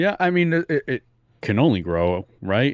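On a very clean recording with a silent background, a man speaks with lively intonation in a dry, close sound with no echo. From New England (Fall River, Massachusetts). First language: not English. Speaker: podcast co-host. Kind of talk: casual chat.

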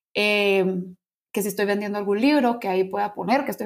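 A woman with a plain, everyday voice speaks at medium pitch and a moderate pace. The recording is very clean, with a silent background. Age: young. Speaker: university student. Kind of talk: casual interview.

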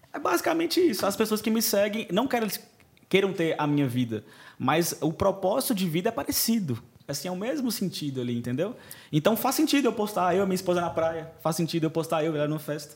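A man speaks at a very fast pace in a high voice. His pitch swings very widely. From Brazil, Montes Claros (Minas Gerais). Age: 30s. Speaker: wedding photographer. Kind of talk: podcast interview.

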